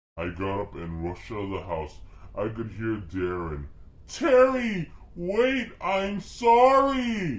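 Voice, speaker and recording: Fairly slow delivery in a put-on character voice. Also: man, medium pitch for a man. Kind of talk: comic overacting. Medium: read story. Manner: exaggerated, melodramatic.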